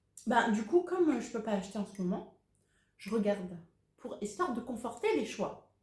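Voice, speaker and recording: This woman has a fairly high, somewhat breathy voice and an animated tone, speaking at a moderate pace with long, frequent pauses. Her loudness swings widely, and audible room echo surrounds her. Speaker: cross-stitch YouTuber. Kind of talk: casual Q&A video. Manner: animated, hesitant with many euh.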